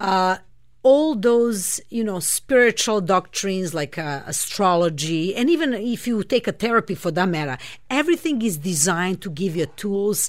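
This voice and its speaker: A woman speaks with a Serbian accent at a medium pitch. Her pace is moderate and her intonation lively. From Serbia, Belgrade. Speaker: astrologer and spiritual healer. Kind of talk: radio interview.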